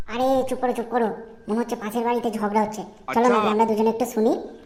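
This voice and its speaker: A woman does a cartoonish character voice at a fairly high pitch and fairly quick pace. Her intonation is monotone and flat, with clear background noise. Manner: insistent, argumentative.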